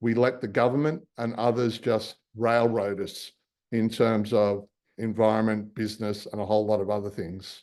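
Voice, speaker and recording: A man speaks with an Australian accent. His pitch is fairly low and his intonation monotone and flat. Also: moderate pace. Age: 60s. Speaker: marine scientist and company founder. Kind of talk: public talk with slides.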